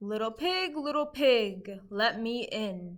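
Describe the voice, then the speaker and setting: A fairly slow pace carries the speech. It is delivered in a put-on character voice. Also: woman, fairly high pitch for a woman. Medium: read story. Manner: menacing.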